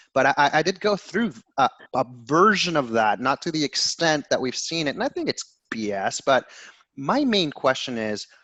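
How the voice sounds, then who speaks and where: A man with a fairly high, bright and sharp voice speaks at a moderate pace. His pitch swings very widely, and the sound is dry and close with no echo. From Ecuador. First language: Spanish. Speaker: podcast host. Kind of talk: interview.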